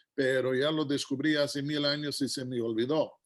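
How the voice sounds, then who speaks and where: A man's fairly high-pitched voice over a quiet background. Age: 60s. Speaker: guest preacher. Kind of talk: sermon.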